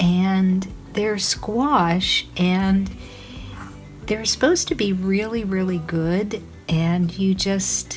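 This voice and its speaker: Here a woman speaks at a very slow pace with fairly even intonation. Noticeable background noise is present. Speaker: fiber arts maker and vlogger. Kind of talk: casual vlog. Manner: chatty, rambling.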